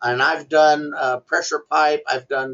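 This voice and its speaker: At a fairly slow pace, a man with an American accent and a fairly high pitch talks in a plain, everyday voice. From US Southwest, Gallup, New Mexico. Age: 60s. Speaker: welding instructor. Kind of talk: interview testimony.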